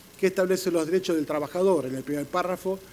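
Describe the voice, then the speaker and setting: Ordinary pitch variation marks a man's fairly high voice. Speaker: panelist on police labor law. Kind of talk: conference panel talk. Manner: fast; halting with fillers and self-corrections.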